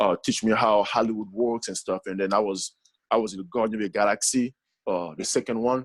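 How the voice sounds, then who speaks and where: A man with a strong Congolese accent at a fairly quick pace, with fairly even intonation. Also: fairly low pitch for a man, dry, close sound with no echo. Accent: heavy Congolese. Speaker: actor and app founder. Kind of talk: podcast interview. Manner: halting, many fillers.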